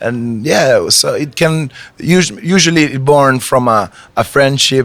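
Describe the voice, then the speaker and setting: A man with an Italian accent and lively intonation. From Italy. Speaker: reggae artist. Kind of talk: interview. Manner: halting.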